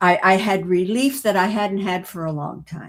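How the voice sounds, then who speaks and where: A woman speaks at a medium pitch and a fairly slow pace. Her voice is somewhat breathy, with lively intonation. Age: 80s+. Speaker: retired educator and author. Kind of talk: podcast interview answer.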